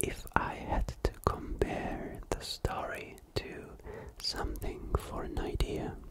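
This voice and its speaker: A whisper in a calm tone, delivered at a very slow pace over noticeable background noise. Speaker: ASMR creator. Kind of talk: ASMR book review, whispered talk to camera. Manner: whispered, calm.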